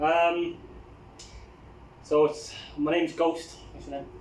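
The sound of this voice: A man talks slowly at a fairly high pitch with little pitch movement. Audible room echo surrounds his voice.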